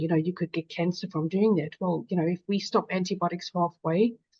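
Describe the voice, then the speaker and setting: A woman with a South African accent, fairly low-pitched and flat in intonation, in a dry, close sound with no echo against a quiet background. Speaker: patient advocate. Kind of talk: webinar panel talk.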